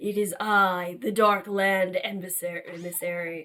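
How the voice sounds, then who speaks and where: A raspy, put-on character voice comes through. It moves at a very slow pace. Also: female-sounding voice, medium pitch for a woman. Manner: ominous, menacing.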